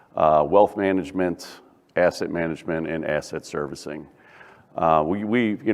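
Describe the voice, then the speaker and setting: A man talks in a very deep, low-pitched voice. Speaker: bank executive presenting at industry conference. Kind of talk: conference presentation.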